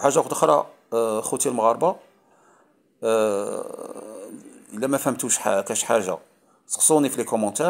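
The recording is very clean, with a silent background. A man at a medium pitch speaks at a moderate pace, with long, frequent pauses. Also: lively intonation. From Algeria, Oran. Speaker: YouTuber, commentator. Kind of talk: casual vlog monologue. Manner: halting, many repetitions and fillers.

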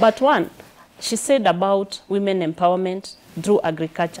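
In a Kenyan accent, a woman speaks at a moderate pace. Her pitch is medium, with ordinary variation. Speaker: political candidate. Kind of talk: studio interview. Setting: studio. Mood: animated, smiling, confident. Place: studio.

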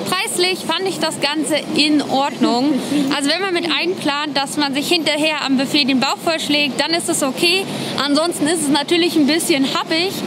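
Noticeable background noise accompanies a woman speaking at a moderate pace. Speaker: vlogger. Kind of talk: casual vlog chat. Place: street. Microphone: phone near.

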